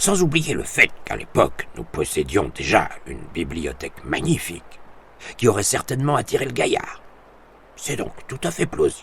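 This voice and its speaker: Putting on a rumbling character voice, a man speaks at medium pitch and a moderate pace with big swings in loudness. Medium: read story. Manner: grumbling, irritable.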